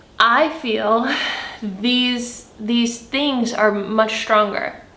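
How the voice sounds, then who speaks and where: A woman talks with ordinary pitch variation. Noticeable background noise and audible room echo are present. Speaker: spiritual content creator. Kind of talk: spiritual monologue to camera. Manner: animated.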